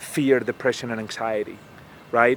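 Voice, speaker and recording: A man speaks over noticeable background noise. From Spain. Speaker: sales trainer and public speaker. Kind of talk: interview answer.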